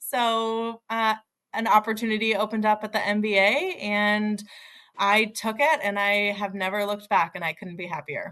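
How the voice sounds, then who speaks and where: In an American accent, an ordinary speaking voice moves at a moderate pace with ordinary pitch variation. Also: woman, fairly high pitch for a woman. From US West Coast (Oregon). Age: 30s. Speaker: mortgage industry association director. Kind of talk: podcast interview.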